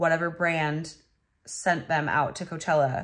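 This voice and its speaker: A woman's unremarkable speaking voice at a fairly slow pace. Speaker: vlogger. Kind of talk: casual vlog chat. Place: home room. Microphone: phone near.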